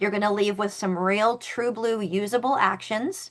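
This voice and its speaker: The speaker has an animated tone and a moderate pace. The background is quiet. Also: woman. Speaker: network marketing coach. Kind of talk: online business presentation.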